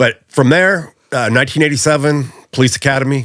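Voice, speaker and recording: Fairly quick, medium-pitched male speech with an American accent and fairly even intonation. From California, US (Visalia). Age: 60s. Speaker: retired police officer and gang investigator. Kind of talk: casual interview conversation.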